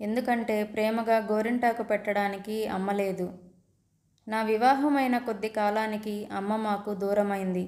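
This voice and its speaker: The woman's voice sits fairly high, and her intonation stays monotone and flat. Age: 30s. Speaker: storyteller. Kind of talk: scripted narration.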